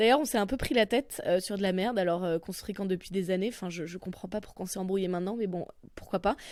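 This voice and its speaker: A woman speaks with a Parisian accent at a medium pitch with ordinary pitch variation. The recording is very clean with a silent background. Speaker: comedian and podcast host. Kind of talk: comedic monologue podcast. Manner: animated, expressive.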